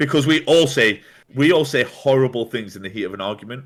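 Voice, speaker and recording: A man speaks very fast, his intonation lively. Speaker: streamer. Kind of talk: casual chat. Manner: loud.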